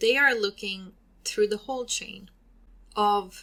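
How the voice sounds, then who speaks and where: With a bright, sharp tone, the voice's pitch varies in an ordinary way. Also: woman. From Sweden. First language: Swedish. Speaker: podcast host and hair stylist. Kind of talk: educational podcast monologue. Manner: hesitant with fillers.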